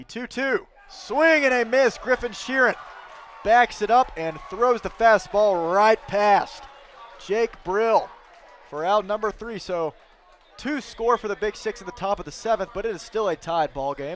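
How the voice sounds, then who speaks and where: Noticeable background noise sits behind a man with a high pitch. He speaks at a fairly slow pace with lively intonation and big swings in loudness. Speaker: baseball play-by-play announcer. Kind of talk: live commentary. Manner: animated.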